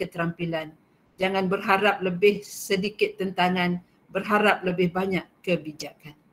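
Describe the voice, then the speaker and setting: This is an unremarkable speaking voice. It moves at a fairly slow pace with fairly even intonation. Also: woman. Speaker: school principal. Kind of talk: welcome speech.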